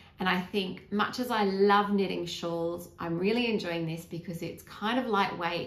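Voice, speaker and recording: A woman talks in an Australian accent with fairly even intonation. Noticeable background noise and audible room echo are present. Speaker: knitting vlogger. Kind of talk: casual chat. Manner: hesitant, with fillers.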